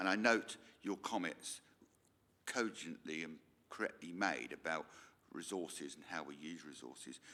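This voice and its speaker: A man with a rural English accent speaks at a moderate pace in a very deep, low voice with vocal fry and a bright, sharp tone, his loudness swinging widely, his pitch varying ordinarily, and his pauses long and frequent. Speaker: local councillor. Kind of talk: formal committee meeting question. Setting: council meeting room.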